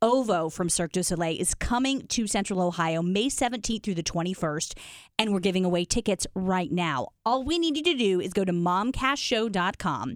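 A woman with an unremarkable speaking voice, medium pitch and lively intonation, moderate pace with hardly any pauses, very clean recording and silent background. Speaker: podcast host. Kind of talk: casual chat. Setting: studio.

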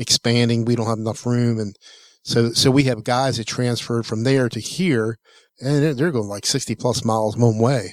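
This man has an ordinary speaking voice with medium pitch and fairly even intonation. He keeps a moderate pace, and the recording is very clean with a silent background. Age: 60s. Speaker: tech podcast co-host. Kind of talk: casual chat.

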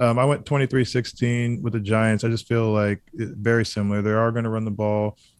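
On a very clean recording with a silent background, a man with a plain, everyday voice and a fairly low pitch speaks at a moderate pace with fairly even intonation. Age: 30s. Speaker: former football player. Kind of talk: sports talk radio.

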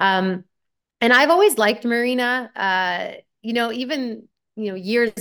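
In a Canadian accent, a woman uses a normal speaking voice at a moderate pace with ordinary pitch variation, on a very clean recording with a silent background. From Canada. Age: 30s. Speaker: former pro tennis player and commentator. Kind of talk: casual interview.

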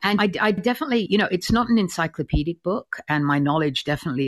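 A woman with an Australian accent talks at a very fast pace, her intonation lively. The sound is dry and close with no echo, over a quiet background. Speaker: author and art critic. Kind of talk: interview. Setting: live audio app recording.

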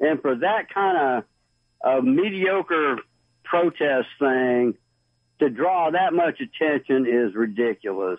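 Very wide pitch swings mark this man's fairly high voice, delivered with a Southern US accent. He talks at a very slow pace with very even loudness. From US South. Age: 60s. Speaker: caller. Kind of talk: call-in talk radio. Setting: phone call.

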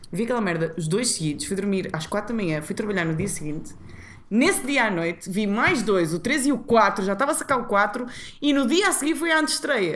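A woman speaks with a Porto accent at a fairly high pitch. Her tone is animated, with very wide pitch swings. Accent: northern Portuguese (Porto). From northern Portugal, Porto area (Matosinhos, Maia). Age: 30s. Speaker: TV presenter and actress. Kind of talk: casual chat.

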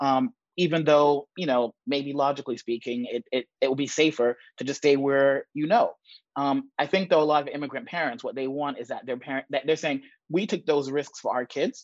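A man talks at a moderate pace and a fairly high pitch, with ordinary pitch variation, in a normal speaking voice. The sound is dry and close, with no echo and a quiet background. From New York (Bronx), born in Jamaica. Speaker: startup founder and investor. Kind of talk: interview.

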